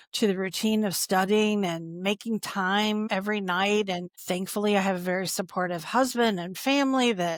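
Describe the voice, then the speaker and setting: A woman talks in an ordinary speaking voice at medium pitch and moderate pace. The recording is very clean, with a silent background. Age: 60s. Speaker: compliance executive. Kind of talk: casual interview chat.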